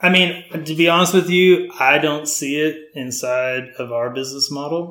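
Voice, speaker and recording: A man with an American accent and an unremarkable speaking voice talks at a moderate pace with hardly any pauses. His pitch is fairly high and his intonation fairly even. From North Texas (Frisco). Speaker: home builder. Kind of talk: casual interview.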